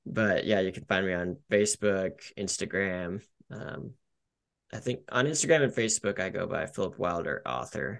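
With an ordinary speaking voice, a man with an American accent talks at a moderate pace, his fairly low pitch rising and falling in lively intonation. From Colorado, Denver. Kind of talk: casual interview chat.

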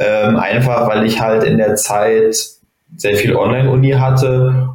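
Audible room echo surrounds a man who speaks very slowly with fairly even intonation. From Germany, Bonn. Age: 20s. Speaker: judoka and medical student. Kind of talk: casual interview.

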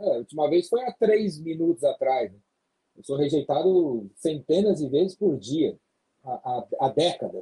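A man speaks with lively intonation and a fairly high pitch, his tone dark and mellow, in a dry, close sound with no echo. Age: 50s. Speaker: sales trainer. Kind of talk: podcast interview.

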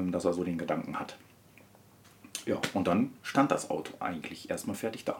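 Long, frequent pauses break up the speech. The man keeps his pace moderate. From Ruhr area, Germany (Wanne-Eickel). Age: 30s. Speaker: car enthusiast. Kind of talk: casual chat.

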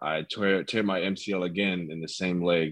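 With an American accent, a man speaks fairly slowly in a very deep, low pitch and a monotone, flat intonation against a quiet background. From Ohio, US Midwest. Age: 20s. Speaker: import football player. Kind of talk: casual interview.

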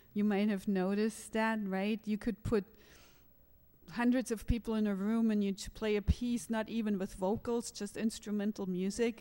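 A woman's fairly high, dark, mellow voice in a flat monotone at a moderate pace. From Germany. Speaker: jazz pianist and professor. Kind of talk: panel discussion.

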